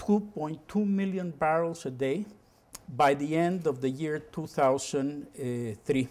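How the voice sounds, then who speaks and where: A man with a Spanish accent and lively intonation. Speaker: former oil company executive, energy expert. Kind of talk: lecture. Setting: university lecture room with audience.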